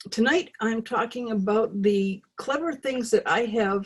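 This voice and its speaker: A somewhat breathy voice at a very slow pace. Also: woman. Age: 60s. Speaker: alternative healing teacher. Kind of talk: online class talk. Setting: video call. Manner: halting.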